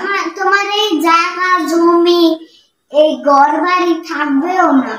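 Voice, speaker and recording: A put-on character voice sits at an extremely high pitch and moves at a fairly slow pace. There is a slight echo. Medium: voice reel. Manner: pleading.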